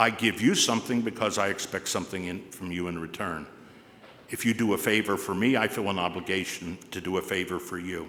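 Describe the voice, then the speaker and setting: Speaking with an American accent, a man with a very deep, low pitch and a bright, sharp tone moves at a fairly quick pace with fairly even intonation. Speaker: commencement speaker. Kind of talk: commencement address. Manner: formal.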